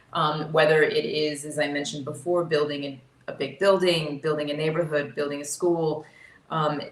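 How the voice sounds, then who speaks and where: An American-accented woman speaks at a moderate pace with a very deep, low pitch. Her intonation is monotone and flat, and room echo is audible. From US South. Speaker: insurance executive, panellist. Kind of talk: panel discussion.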